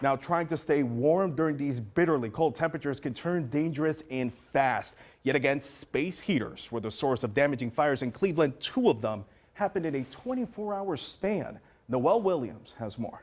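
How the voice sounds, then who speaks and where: With a plain, everyday voice, a man uses lively intonation at a fairly high pitch and moderate pace, captured on a very clean recording with a silent background. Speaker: news anchor. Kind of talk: TV news anchor read. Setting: studio.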